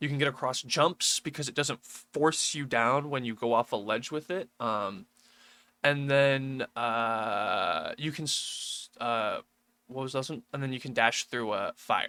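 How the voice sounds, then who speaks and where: A man's bright, sharp tone at a fairly slow pace with ordinary pitch variation, in a very clean recording over a silent background. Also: medium pitch for a man, dry, close sound with no echo. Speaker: gaming youtuber. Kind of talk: casual tutorial. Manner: casual, hesitant with many ums.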